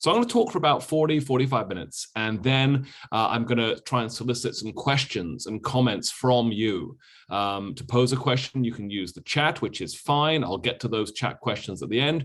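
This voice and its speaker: This man has a British accent and a medium pitch. He speaks at a moderate pace with ordinary pitch variation. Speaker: history professor. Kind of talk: lecture. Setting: video call from a motel room.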